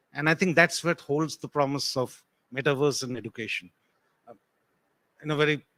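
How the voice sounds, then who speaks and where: A man's fairly high voice with a bright, sharp tone and a non-native accent, ordinary pitch variation, big swings in loudness, a moderate pace, long, frequent pauses, and a dry, close sound with no echo. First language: not English. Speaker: tech panelist. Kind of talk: panel discussion.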